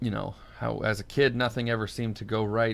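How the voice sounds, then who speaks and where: A man speaks at a moderate pace in a fairly low voice. His intonation is monotone and flat. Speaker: mental health podcaster. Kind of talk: personal monologue podcast. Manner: halting, many fillers.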